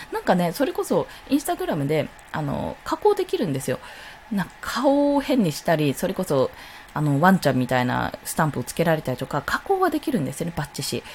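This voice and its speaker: A woman talks at a very fast pace. Noticeable noise sits in the background. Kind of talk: solo live stream talk. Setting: live stream at home.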